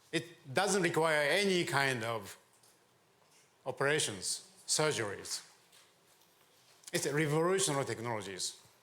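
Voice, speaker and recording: Lively intonation and long, frequent pauses come through at a moderate pace, with audible room echo and noticeable background noise. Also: man, fairly high pitch for a man. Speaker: venture capitalist and government adviser. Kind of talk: conference talk.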